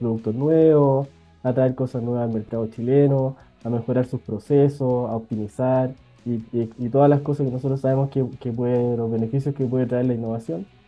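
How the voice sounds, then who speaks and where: Over faint music in the background, a man speaks at a fairly quick pace in a monotone with flat intonation. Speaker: remote interview guest, professor. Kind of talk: interview answer. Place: office. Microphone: earbuds.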